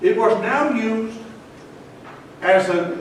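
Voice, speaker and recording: There is noticeable background noise and audible room echo. Over it, a man talks in a high pitch with lively intonation. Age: 70s. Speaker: pastor. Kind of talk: commemorative speech. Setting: ceremony with audience. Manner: emphatic.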